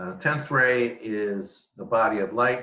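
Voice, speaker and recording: Audible room echo surrounds a man speaking very slowly at a medium pitch. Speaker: spiritual teacher. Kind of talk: webinar lecture. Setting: home office.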